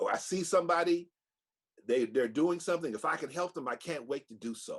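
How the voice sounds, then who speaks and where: Fairly quick speech in an American accent with ordinary pitch variation. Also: man, high pitch for a man. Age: 70s. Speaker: storyteller and activist. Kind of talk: interview.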